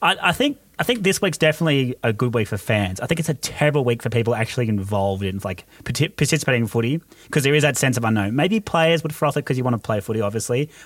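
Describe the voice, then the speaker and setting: In an Australian accent, a man speaks at a very fast pace and a medium pitch with lively intonation. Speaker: podcast host. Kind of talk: casual chat. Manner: animated.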